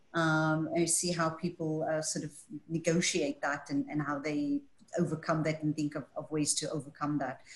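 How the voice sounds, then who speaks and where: A woman speaks at a moderate pace in a very deep, low pitch, somewhat breathy, with monotone, flat intonation. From Scotland. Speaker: panel moderator. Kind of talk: moderated panel discussion. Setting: video call.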